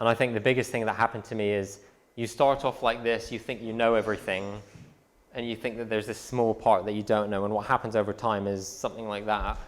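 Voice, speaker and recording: A man with an American accent talks at a very fast pace at medium pitch, his intonation monotone and flat. The recording is very clean, with a silent background. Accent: London English with a slight American twang. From London. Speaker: physics graduate giving a talk. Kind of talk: presentation to students. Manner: casual, with frequent fillers.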